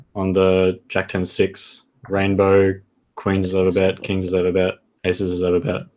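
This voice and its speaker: With an Australian accent, a man delivers his words at a moderate pace in a very deep, low pitch and a monotone, flat intonation. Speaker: poker coach. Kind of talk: tutorial.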